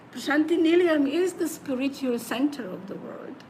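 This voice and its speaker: A high-pitched woman speaks with audible room echo. Noticeable background noise runs underneath. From Slovenia. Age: 70s. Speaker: spiritual singing teacher. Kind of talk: interview. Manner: halting.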